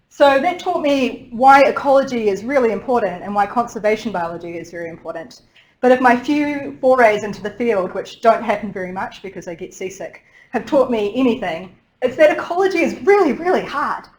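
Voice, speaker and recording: A woman's fairly high voice with a New Zealand accent, fairly quick, with very wide pitch swings and big swings in loudness. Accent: New Zealand, thickened. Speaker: marine ecologist, researcher. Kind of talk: lecture. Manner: fast.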